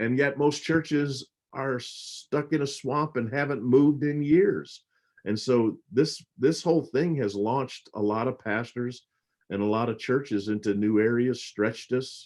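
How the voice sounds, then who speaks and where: Here a man speaks in an unremarkable speaking voice at a medium pitch. He talks at a fairly slow pace with ordinary pitch variation. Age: 60s. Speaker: pastor. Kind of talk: casual chat. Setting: livestream.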